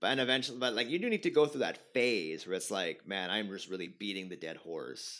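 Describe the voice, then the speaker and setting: Using hardly any pauses, a man with a fairly low pitch talks at a fairly quick pace with lively intonation. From Montreal, Quebec, Canada. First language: French. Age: 30s. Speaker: stand-up comedian. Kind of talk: casual chat.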